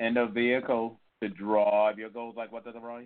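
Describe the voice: At a moderate pace, a man speaks in a theatrical tone at medium pitch with little pitch movement.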